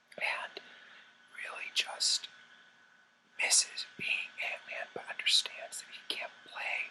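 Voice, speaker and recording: A man whispers at a fairly slow pace. Noticeable background noise is present. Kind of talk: movie review, whispered ASMR. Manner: whispered.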